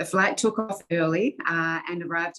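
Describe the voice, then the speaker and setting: A woman with an Australian accent speaks at a moderate pace, her fairly low pitch showing ordinary variation. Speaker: airline executive. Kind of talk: interview.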